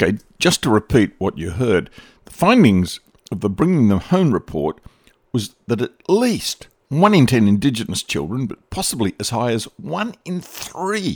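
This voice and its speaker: Speaking with an Australian accent, a man talks at a moderate pace and medium pitch, his pitch swinging very widely, in a dry, close recording with no echo. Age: 70s. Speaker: podcast host. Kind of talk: scripted narration.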